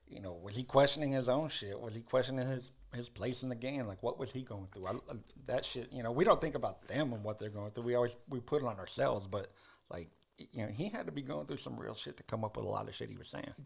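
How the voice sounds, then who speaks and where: A man's medium-pitched voice with vocal fry, at a very fast pace, with ordinary pitch variation and big swings in loudness. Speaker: podcast co-host. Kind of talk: casual chat.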